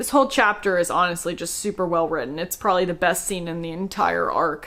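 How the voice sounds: At a fairly quick pace, a woman talks with a fairly low pitch, a fairly bright tone and ordinary pitch variation.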